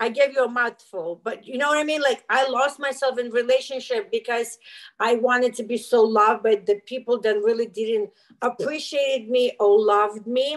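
Her voice is high in pitch, and the speaker is a woman. She talks at a moderate pace with ordinary pitch variation. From former Soviet Union. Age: 50s. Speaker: life coach. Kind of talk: interview. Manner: animated.

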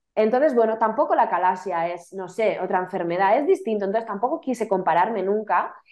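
The delivery moves at a fairly quick pace with lively intonation and hardly any pauses. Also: woman, fairly high pitch for a woman. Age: 30s. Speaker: author recovering from chronic illness. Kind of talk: testimony. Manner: hesitant, repeating words.

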